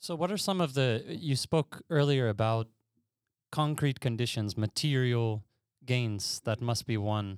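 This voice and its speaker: The sound is dry and close with no echo, and a man speaks in an ordinary speaking voice at a medium pitch. His pace is fairly slow, with ordinary pitch variation. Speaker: podcast host. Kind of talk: casual chat.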